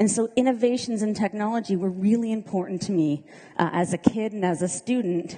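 A woman speaks at a moderate pace in a dark, mellow tone. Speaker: government minister. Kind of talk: keynote speech. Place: hall.

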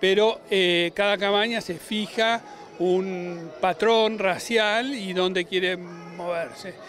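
Over light background noise, the intonation stays fairly even and the sound is dry with no echo. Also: man. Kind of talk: interview answer. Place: stadium. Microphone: handheld.

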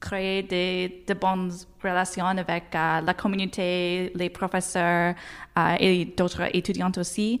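On a very clean recording with a silent background, a woman speaks very slowly at a medium pitch. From Nova Scotia, Halifax. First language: English (speaking French). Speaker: university graduate, award winner. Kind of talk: interview. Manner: halting, many fillers.

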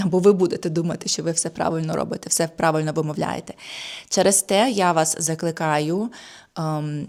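An unremarkable speaking voice from a woman, fairly low in pitch, with fairly even intonation at a moderate pace, on a very clean recording with a silent background. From Ukraine. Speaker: German language teacher. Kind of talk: tutorial.

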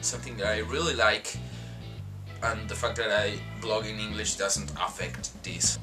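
Against clear music in the background, a man with a fairly low pitch makes very wide pitch swings and leaves long, frequent pauses. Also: moderate pace. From Argentina. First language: Spanish. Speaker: vlogger. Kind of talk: casual talk to camera. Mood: earnest, reflective. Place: home room. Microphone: webcam.

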